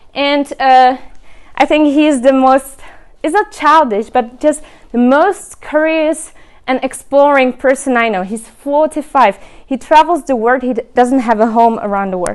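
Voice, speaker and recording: In a Czech accent, the speaker goes at a fairly slow pace with ordinary pitch variation. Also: woman, high pitch for a woman. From Czech Republic. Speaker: remote work advocate, speaker. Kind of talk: event presentation. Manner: halting, many fillers.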